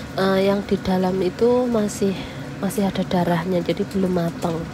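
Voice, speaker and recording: Noticeable background noise sits behind a woman of medium pitch who talks at a moderate pace with ordinary pitch variation. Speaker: cooking vlogger, migrant domestic worker. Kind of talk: cooking tutorial. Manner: casual, chatty.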